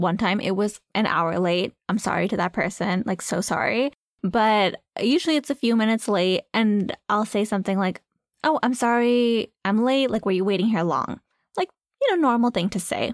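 In a normal speaking voice, a woman talks at a moderate pace and a fairly high pitch with ordinary pitch variation and very even loudness, the sound dry and close with no echo in a very clean recording against a silent background. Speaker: podcast co-host. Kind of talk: casual chat. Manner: laughs often, relaxed, playful.

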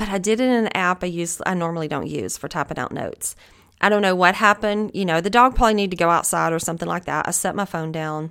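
On a very clean recording with a silent background, a woman with a Southern US accent talks very fast with ordinary pitch variation. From US South. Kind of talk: devotional Bible teaching monologue.

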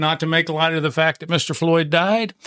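A man talks at a fairly quick pace with fairly even intonation. His pitch is fairly high and his tone fairly bright.

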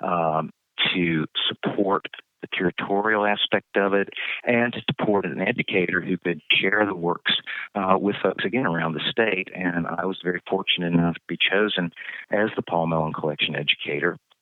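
With a very deep, low voice, a man talks at a moderate pace and with fairly even intonation. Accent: Appalachian Virginia. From Southwest Virginia, US. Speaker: museum educator. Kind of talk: interview.

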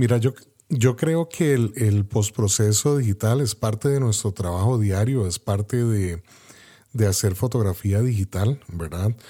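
A man talks at a fairly slow pace with a fairly low pitch, a dark, mellow tone and a somewhat breathy quality. His loudness is very even, his pitch variation is ordinary, and the recording is very clean with a silent background. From Costa Rica. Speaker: podcast host and photographer. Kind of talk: interview.

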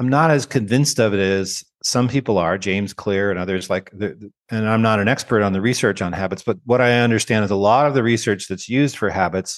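With a Canadian accent, a man speaks at a fairly quick pace in a plain, everyday voice, fairly low in pitch with ordinary pitch variation. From Canada. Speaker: education researcher and author. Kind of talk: interview conversation.

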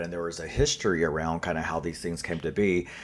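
The man talks at a very fast pace. His very deep, low voice holds a monotone, flat intonation. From North Carolina, US South. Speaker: author and activist. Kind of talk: interview answers. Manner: informal, conversational with fillers.

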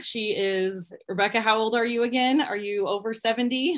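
At a moderate pace, a woman speaks with a fairly high pitch, ordinary pitch variation and an ordinary speaking voice. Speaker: podcast host and fitness coach. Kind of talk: interview, conversational.

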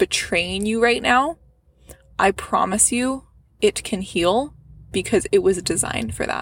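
A woman at a moderate pace. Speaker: women's health podcaster. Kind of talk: gentle motivational pep talk, addressed intimately to listener. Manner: warm, reassuring, affectionate, with soft laughs; earnest and encouraging, building to heartfelt emphatic cheering.

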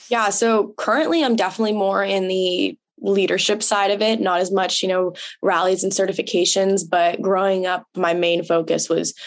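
Here is a plain, everyday voice from a woman with an American accent, medium in pitch and at a moderate pace. Her intonation is fairly even and her loudness very even. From California. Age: 20s. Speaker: pony club member and youth leader. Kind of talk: interview.

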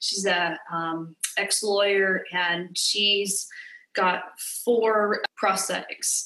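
A woman speaks at a very slow pace in a monotone, flat intonation. The recording has audible room echo. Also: medium pitch for a woman. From California. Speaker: middle school teacher. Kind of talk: interview.

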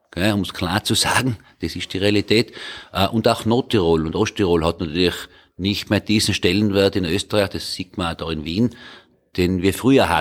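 This man, with an unremarkable speaking voice and a fairly low pitch that varies in an ordinary way, keeps a moderate pace on a very clean recording with a silent background. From North Tyrol, Hall. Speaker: member of parliament. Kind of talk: roundtable discussion. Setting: parliament building.

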